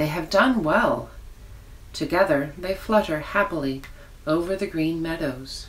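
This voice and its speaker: Amid noticeable background noise, a woman speaks in a gentle tone at a fairly low pitch with ordinary pitch variation, a fairly slow pace and long, frequent pauses. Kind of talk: fairy-tale narration, reading a children's story aloud. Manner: soft, gentle storyteller's pace with wonder and warmth; animated, sing-song emphasis on exclamations.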